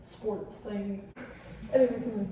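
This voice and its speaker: Medium pitch and monotone, flat intonation from a woman, with noticeable background noise and audible room echo. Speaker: cosplayer vlogger. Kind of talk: casual vlog. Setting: public bathroom.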